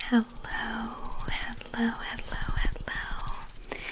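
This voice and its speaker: A woman whispers very slowly in a relaxed tone with an American accent, with noticeable background noise behind her. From USA. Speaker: ASMR artist. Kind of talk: ASMR haul talk to camera. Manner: soft-spoken, rambling, relaxed.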